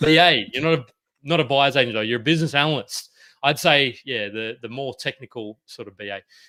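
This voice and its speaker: Delivered at a fairly quick pace in an Australian accent, the bright, sharp voice shows ordinary pitch variation and big swings in loudness on a very clean recording with a silent background. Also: man, medium pitch for a man. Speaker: property podcast host. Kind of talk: interview. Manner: halting.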